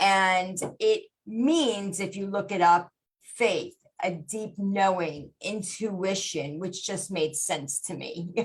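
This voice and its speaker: Speaking at a very slow pace, a woman has a somewhat breathy, medium-pitched voice with ordinary pitch variation. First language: Gujarati. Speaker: podcast host and life coach. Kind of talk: motivational podcast monologue. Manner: casual with many fillers.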